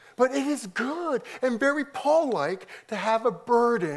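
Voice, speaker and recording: The intonation rises and falls in a lively way. An American accent comes through. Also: man. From US, Korean American second generation. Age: 50s. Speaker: pastor. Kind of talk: conference talk. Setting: stage with audience.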